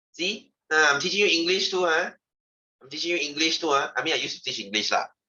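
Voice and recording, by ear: At a fairly quick pace, a man talks in a fairly high voice with a bright, sharp tone and a slightly husky edge.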